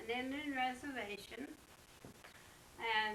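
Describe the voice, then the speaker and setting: A woman speaks with an American accent, her pitch high and its variation ordinary. The pace is fairly slow, and room echo is audible. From West Virginia. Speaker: grandmother telling life history. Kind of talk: oral history interview. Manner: halting.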